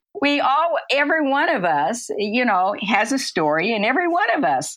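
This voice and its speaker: A woman with a Midwestern US accent makes very wide pitch swings on a very clean recording with a silent background. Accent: General American, Midwestern. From US Midwest, Kansas City. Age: 80s+. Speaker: lecturer on brain health and aging. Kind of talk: interview.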